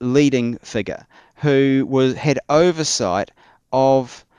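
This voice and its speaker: With a New Zealand accent, a man speaks at a very slow pace in a very clean recording with a silent background and a dry, close sound with no echo. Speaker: church historian. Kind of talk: interview. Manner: halting.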